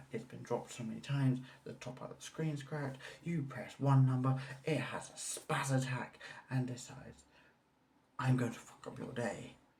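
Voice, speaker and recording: A man whispers amid noticeable background noise and audible room echo. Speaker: vlogger. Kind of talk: casual vlog rant. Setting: at home on balcony. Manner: whispering.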